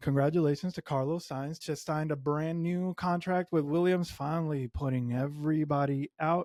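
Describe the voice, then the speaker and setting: A man speaks at a moderate pace with a high pitch, a dark, mellow tone and ordinary pitch variation. The recording is very clean, with a silent background and a dry, close sound with no echo. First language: Spanish. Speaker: F1 podcast host. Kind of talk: solo podcast commentary. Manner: casual, conversational with filler words.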